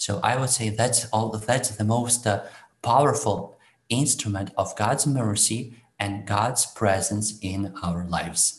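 Speaking very slowly with a Ukrainian accent, a man uses a fairly low pitch, fairly even intonation, and a somewhat breathy sound. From Ukraine. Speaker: priest. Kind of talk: interview. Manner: halting.

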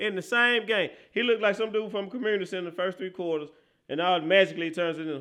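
Animated in tone, a man speaks at a very fast pace. His pitch is high, with ordinary pitch variation. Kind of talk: sports talk analysis of a game, breaking down plays. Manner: animated, loud, slangy, emphatic and repetitive.

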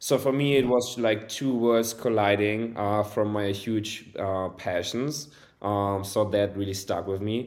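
This man speaks with a German accent at a fairly slow pace. His pitch is fairly low and his intonation fairly even. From Germany. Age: 20s. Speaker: e-commerce agency owner. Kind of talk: casual interview.

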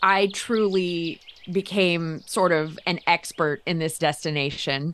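With an American accent and an unremarkable speaking voice, a woman talks at a fairly low pitch with ordinary pitch variation. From Florida, US. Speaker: travel writer. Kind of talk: casual chat.

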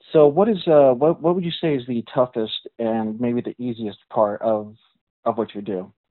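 With lively intonation, a man with an unremarkable speaking voice and medium pitch talks at a moderate pace. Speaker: podcast host. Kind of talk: interview.

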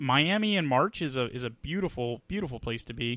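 At a moderate pace and medium pitch, a man talks in a normal speaking voice. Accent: American. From Atlanta area, US South. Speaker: podcast co-host. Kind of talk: casual chat.

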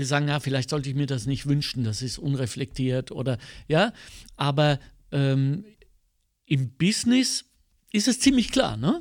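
A man at a fairly high pitch with ordinary pitch variation and a moderate pace, broken by long, frequent pauses, on a very clean recording with a silent background. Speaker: cabaret artist and podcast host. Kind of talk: casual chat. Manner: animated.

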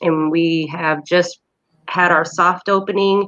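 A woman with a fairly low voice speaks with an American accent. Her pace is very slow and her intonation fairly even. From Indiana. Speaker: thrift shop owner and event organizer. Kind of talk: casual interview chat.

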